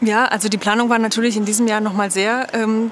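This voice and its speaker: A woman speaks with light background noise. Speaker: book fair spokesperson. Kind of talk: interview answers. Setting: video call. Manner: hesitant, many filler words. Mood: calm, friendly, informative. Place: hall. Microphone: lapel.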